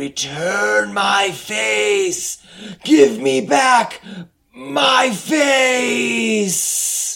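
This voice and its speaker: A man's raspy put-on character voice at a high pitch with very wide pitch swings and a very slow pace. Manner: angry.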